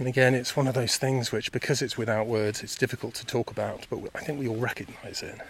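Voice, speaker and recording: Speaking very fast with hardly any pauses, a man with a southern English accent keeps a medium pitch and a flat, monotone intonation. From England, Buckinghamshire (Chilterns). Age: 50s. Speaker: podcaster, meditation practitioner. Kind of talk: reflective monologue. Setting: outdoors on a walk.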